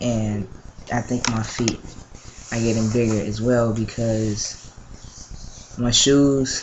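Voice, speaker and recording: With noticeable background noise behind him, a man speaks at a very slow pace. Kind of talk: casual vlog update. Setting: at mother's house, home video. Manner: hesitant, many fillers.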